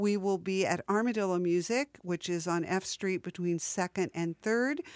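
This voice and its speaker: A woman uses a normal speaking voice, talking at a fairly slow pace with ordinary pitch variation. The sound is dry and close with no echo, and the recording is very clean with a silent background. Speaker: radio host. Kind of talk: radio DJ patter between music sets, plugging festival and station. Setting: community radio studio broadcast. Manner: relaxed, chatty, conversational with filler 'uh' and 'um', playful wordplay.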